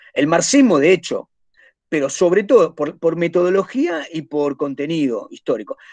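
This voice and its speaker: Over a quiet background, a man with a high pitch and very wide pitch swings talks at a moderate pace. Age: 50s. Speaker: teacher. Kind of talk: lecture. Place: home room. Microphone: webcam.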